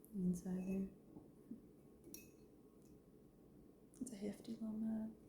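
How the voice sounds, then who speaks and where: Soft-spoken and relaxed in tone, a woman talks at a very slow pace with long, frequent pauses, a medium pitch, and fairly even intonation. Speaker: ceramic artist. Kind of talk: soft-spoken ASMR studio routine, talking to camera. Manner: soft-spoken, quiet, relaxed.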